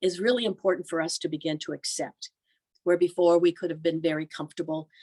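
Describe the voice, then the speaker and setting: A woman with an American accent speaks in a dark, mellow tone at a fairly low pitch, the sound dry and close with no echo. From US Northeast (Erie, Pennsylvania). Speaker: religious sister and pastoral institute leader. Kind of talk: presentation. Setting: video call.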